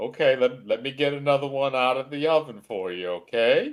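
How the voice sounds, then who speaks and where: A man's put-on character voice at a medium pitch, delivered at a fairly quick pace. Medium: actual play. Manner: folksy, stubborn.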